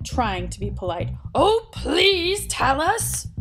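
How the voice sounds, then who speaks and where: Someone puts on a character voice and talks at a very slow pace over clear background noise. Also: woman. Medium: read story. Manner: loud, blunt.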